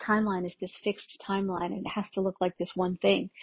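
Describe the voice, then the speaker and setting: Her voice is somewhat breathy. The woman speaks fairly briskly. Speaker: spiritual channeler. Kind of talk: channeled spiritual transmission monologue. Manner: casual, meandering with many fillers.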